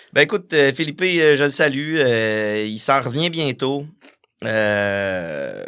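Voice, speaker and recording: Very slowly, a man speaks in a bright, sharp tone with lively intonation. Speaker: punk musician. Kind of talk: casual interview.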